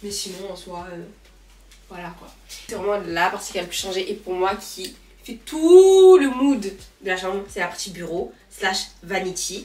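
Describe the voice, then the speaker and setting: A woman at a medium pitch with ordinary pitch variation and big swings in loudness, amid noticeable background noise and audible room echo. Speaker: lifestyle vlogger. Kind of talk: casual vlog talk to camera. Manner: fast; hesitant fillers.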